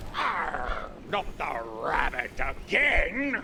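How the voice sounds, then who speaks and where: A man performs a cartoonish character voice. Clear background noise runs underneath. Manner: gruff pirate growl.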